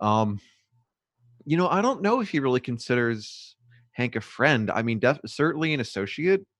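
A normal speaking voice from a man, medium in pitch, with lively intonation at a moderate pace. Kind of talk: casual chat, live stream. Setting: live Twitch stream, video call.

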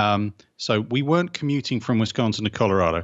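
Speaking at a fairly quick pace with a southern English accent, a man uses a fairly low pitch and ordinary pitch variation. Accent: English (southern England). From England. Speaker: therapist. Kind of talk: casual interview chat.

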